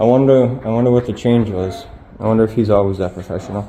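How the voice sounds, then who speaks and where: Over noticeable background noise, a medium-pitched man with a Boston accent talks at a very fast pace. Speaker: first amendment auditor. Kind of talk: casual talk to camera.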